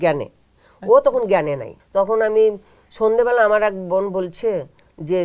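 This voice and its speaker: A woman's dark, mellow voice at a medium pitch. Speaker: housewife, spiritual practitioner. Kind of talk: interview testimony. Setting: studio.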